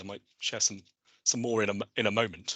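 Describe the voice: With a slightly husky edge, the man's voice has a bright, sharp tone.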